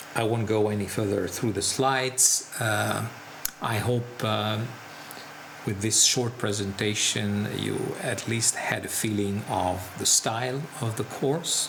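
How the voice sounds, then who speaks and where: A man speaks at a very slow pace with a fairly low voice and fairly even intonation. Audible room echo and noticeable background noise fill the recording. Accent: Italian. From Italy. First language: Italian. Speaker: seminar instructor. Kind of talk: promotional lecture. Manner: hesitant, many fillers.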